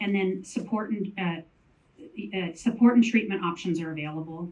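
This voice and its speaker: This woman has a fairly low pitch. Her pitch varies in an ordinary way. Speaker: panelist on mental health in menopause. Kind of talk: panel talk.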